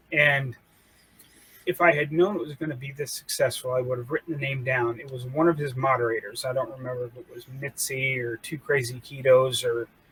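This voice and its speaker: Speaking at a fairly quick pace with a American accent, a man with a medium pitch keeps fairly even intonation but shows big swings in loudness. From Appalachia. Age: 50s. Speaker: army veteran. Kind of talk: casual chat.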